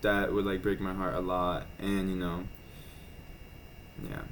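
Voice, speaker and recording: Pitched fairly low, a man speaks at a moderate pace. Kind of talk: casual weekly vlog talk to camera. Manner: many filler words, hesitant.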